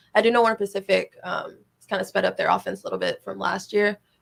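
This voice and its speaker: Fairly quick speech from a woman, with music in the background. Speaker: college volleyball player. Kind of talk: interview. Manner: fast.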